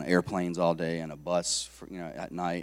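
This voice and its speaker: A man speaks with a very deep, low pitch. The recording is very clean and the background silent. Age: 40s. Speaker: lay preacher, army veteran. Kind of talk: sermon. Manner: halting.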